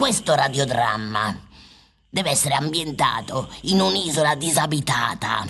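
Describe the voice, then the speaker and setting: A raspy voice at a low-to-middle pitch, moving at a moderate pace. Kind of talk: absurdist radio comedy. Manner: exclamatory, theatrical, bossy.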